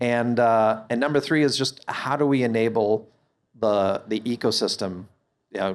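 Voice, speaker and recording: This man speaks at a moderate pace with fairly even intonation, in a very clean recording with a silent background. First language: not English. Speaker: company CEO. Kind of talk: live on-stage interview. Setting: stage with audience. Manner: hesitant, many fillers and repeats.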